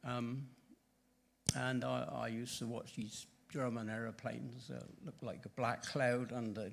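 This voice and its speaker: A man talks fairly slowly at medium pitch with fairly even intonation. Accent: West Country. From southwest England, Bristol. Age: 80s+. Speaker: church member giving testimony. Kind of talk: testimony. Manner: halting.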